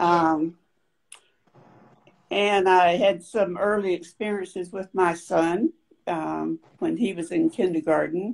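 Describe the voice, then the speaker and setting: Speaking at a very slow pace, a woman with a North Carolina accent uses a fairly low pitch. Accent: Southern US (North Carolina). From US South, downtown Raleigh, North Carolina. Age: 70s. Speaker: panel guest. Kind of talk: personal testimony in panel discussion.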